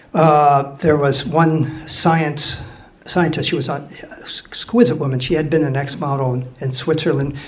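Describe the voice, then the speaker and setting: A man with a fairly high pitch speaks at a fairly slow pace and with fairly even intonation, with audible room echo and noticeable background noise. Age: 60s. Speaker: mariner, ship's officer telling a story. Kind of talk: live storytelling to an audience. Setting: stage with audience. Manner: casual, halting with fillers.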